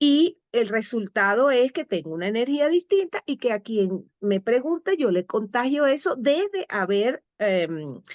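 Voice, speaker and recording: A woman speaks at a very slow pace in a high pitch with very wide pitch swings, the sound dry and close with no echo and the background quiet. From Venezuela. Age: 60s. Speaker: storyteller and life coach. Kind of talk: interview conversation. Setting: live broadcast program.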